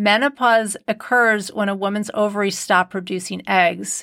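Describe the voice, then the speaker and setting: A woman with a plain, everyday voice speaks at a moderate pace and medium pitch with fairly even intonation, on a very clean recording with a silent background. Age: 50s. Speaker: podcast host and nutritionist. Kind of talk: solo podcast monologue. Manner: warm, conversational.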